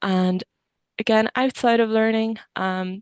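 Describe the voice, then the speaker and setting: With an Irish accent, a woman speaks with fairly even intonation over a quiet background. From Ireland, Kilkenny. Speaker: engineering student. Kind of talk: webinar talk.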